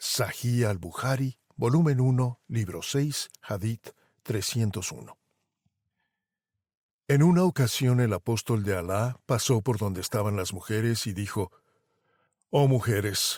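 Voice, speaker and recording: A man speaks at a medium pitch with ordinary pitch variation, fairly slowly and with long, frequent pauses. The sound is dry and close with no echo, in a very clean recording over a silent background. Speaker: podcast host and narrator. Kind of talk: podcast commentary narration.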